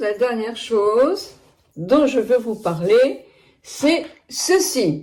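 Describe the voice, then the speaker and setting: A woman with a high pitch, very wide pitch swings, a very slow pace and long, frequent pauses. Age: 70s. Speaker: beauty product reviewer. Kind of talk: product review. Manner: chatty, hesitant.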